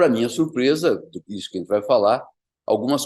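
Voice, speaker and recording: This is a male voice. The pitch is medium. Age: 60s. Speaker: surgeon. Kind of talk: presentation. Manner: halting.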